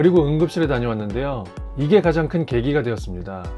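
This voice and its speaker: The man's pitch swings very widely while music sits in the background. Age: 40s. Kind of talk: personal story talk to camera.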